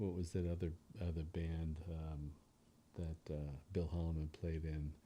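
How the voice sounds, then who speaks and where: With an American accent, a man speaks at a moderate pace in a very deep, low pitch, somewhat breathy with a dark, mellow tone and monotone, flat intonation. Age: 60s. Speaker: bass player. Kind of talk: casual chat. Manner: halting.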